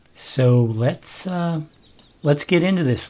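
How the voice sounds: A man talks at a slow pace with lively intonation. His tone is slightly mellow.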